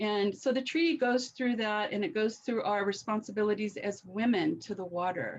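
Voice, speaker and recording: At a moderate pace and with hardly any pauses, a woman talks in an ordinary speaking voice. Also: fairly high pitch for a woman, ordinary pitch variation. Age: 60s. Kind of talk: webinar talk.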